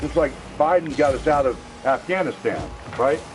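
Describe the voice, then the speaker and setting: With music playing in the background, a man speaks at a fairly high pitch. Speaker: gaming livestreamer. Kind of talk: casual chat. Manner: animated.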